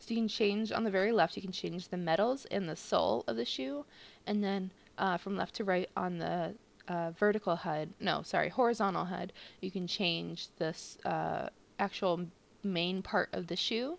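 In a very clean recording with a silent background, a woman talks at a moderate pace and medium pitch, with vocal fry and ordinary pitch variation. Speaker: video blogger. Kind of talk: casual unboxing tutorial. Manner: animated.

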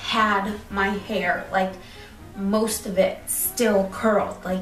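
Light background noise and audible room echo surround a woman speaking at a very slow pace. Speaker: hair vlogger. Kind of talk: casual vlog chat. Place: home room. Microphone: phone near.

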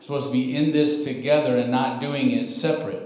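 A man speaks with fairly even intonation. Room echo is audible. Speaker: guest preacher. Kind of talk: sermon. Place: church.

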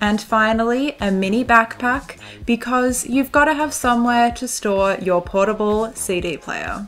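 A woman speaks with an Australian accent at a fairly slow pace, fairly high in pitch with ordinary pitch variation and hardly any pauses. Music plays in the background. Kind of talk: fashion lookbook voiceover. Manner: steady pace, clear pronunciation; playful, jokey.

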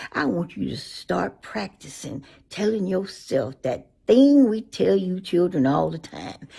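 Against a quiet background, a woman with vocal fry and a fairly low pitch speaks at a fairly slow pace, her pitch swinging very widely. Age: 80s+. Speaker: social media elder. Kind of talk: motivational talk to camera. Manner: warm, affectionate. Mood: warm, encouraging. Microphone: phone near.

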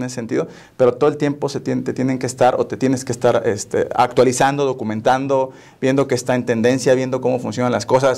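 A man is speaking. He goes at a very fast pace. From Mexico, Tampico, Tamaulipas; Tamaulipas, Mexico. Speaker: software company operations director; guest. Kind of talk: interview. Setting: studio. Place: studio. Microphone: lapel.

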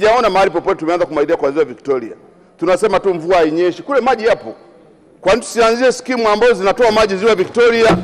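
At a very fast pace, a man with a high pitch talks with very even loudness. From Lake Zone, Tanzania; Tanzania. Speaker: member of parliament. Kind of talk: parliamentary speech. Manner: halting. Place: hall. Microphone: podium.

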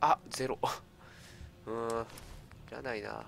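Over noticeable background noise, a man at medium pitch speaks at a fairly slow pace. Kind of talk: casual gameplay commentary.

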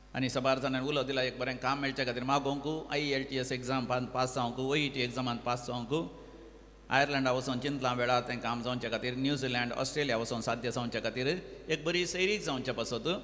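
Light background noise sits behind a man who talks with fairly even intonation. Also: very even loudness. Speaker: priest leading mass. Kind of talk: reading prayer intentions. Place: church. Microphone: podium.

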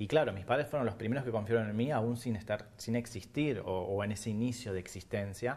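A man speaks at a fairly quick pace with hardly any pauses. His pitch variation is ordinary. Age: 40s. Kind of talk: TV interview. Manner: halting, many fillers and repetitions. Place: studio. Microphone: lapel.

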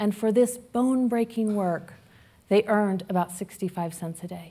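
The speaker is a woman. She talks at a fairly slow pace. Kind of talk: prepared public talk. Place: hall. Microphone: headset.

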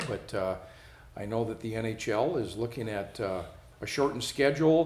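Audible echo fills the room as a man talks at an average pace. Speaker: show host. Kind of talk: news read and commentary. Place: studio.

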